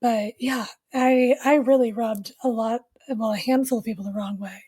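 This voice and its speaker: Her tone is dark and mellow, with fairly even intonation. The woman keeps a moderate pace. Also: fairly high pitch for a woman. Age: young. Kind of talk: interview testimony. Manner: monotone at times; flat affect.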